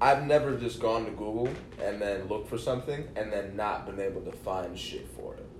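Room echo is audible as a man with an American accent speaks fairly quickly at a medium pitch. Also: ordinary pitch variation, big swings in loudness. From Kalamazoo, Michigan. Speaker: musician. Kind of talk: casual chat.

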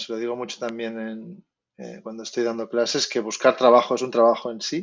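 A man with a plain, everyday voice speaks at a moderate pace and medium pitch, keeping his intonation fairly even. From Spain. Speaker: concept artist. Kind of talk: interview.

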